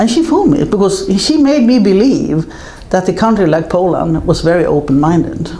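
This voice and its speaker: A woman of medium pitch at a moderate pace, very even in loudness yet with very wide pitch swings, amid audible room echo and noticeable background noise. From Sweden. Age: 60s. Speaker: film producer. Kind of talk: interview conversation.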